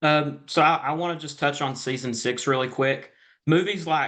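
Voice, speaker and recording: Bright and sharp in tone, a man's voice moves at a moderate pace with fairly even intonation. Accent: Southern US. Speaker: entertainment interviewer. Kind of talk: interview.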